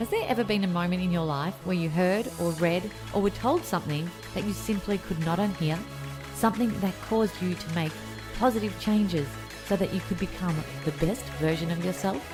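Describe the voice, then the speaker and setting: A woman's fairly low voice at a fairly quick pace, with ordinary pitch variation over music in the background. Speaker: podcast host. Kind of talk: podcast intro.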